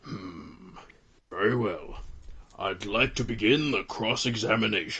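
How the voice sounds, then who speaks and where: In a put-on character voice, a raspy man with a medium pitch and ordinary pitch variation talks at a fairly slow pace with long, frequent pauses. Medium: fan dub. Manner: formal, slow, ponderous.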